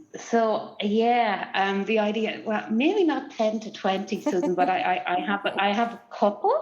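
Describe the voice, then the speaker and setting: A woman with an Irish Midlands accent speaks at a fairly slow pace and medium pitch. Noticeable background noise is present. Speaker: research collaboration executive. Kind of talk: online panel discussion. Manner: halting, many fillers and repeats.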